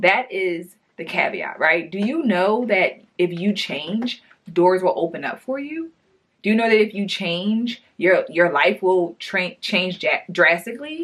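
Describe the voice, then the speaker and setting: A woman's medium-pitched voice with lively intonation at a fairly slow pace. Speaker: lifestyle vlogger. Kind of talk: casual monologue to camera. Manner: loud; casual, filler-heavy.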